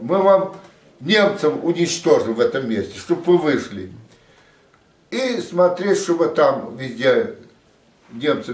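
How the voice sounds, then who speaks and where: Audible room echo surrounds a man with a high pitch. He talks at a very slow pace with very wide pitch swings. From Russian Far East, Vladivostok; Russia. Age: 80s+. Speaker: war veteran. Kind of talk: testimony. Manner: halting. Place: home room. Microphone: camera far.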